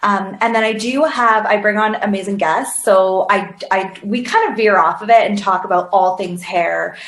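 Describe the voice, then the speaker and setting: A woman's voice with hardly any pauses, audible room echo and noticeable background noise. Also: medium pitch for a woman, ordinary pitch variation, moderate pace. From northern England, Sheffield. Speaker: hairstylist and business coach. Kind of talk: podcast interview.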